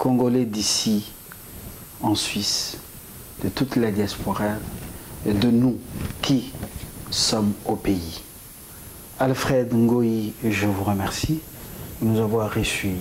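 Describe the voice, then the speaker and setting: Over light background noise, a man speaks very slowly at a medium pitch, with fairly even intonation, very even loudness, and long, frequent pauses. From DR Congo. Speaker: TV interviewer. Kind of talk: interview. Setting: guest's office. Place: home room. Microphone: lapel.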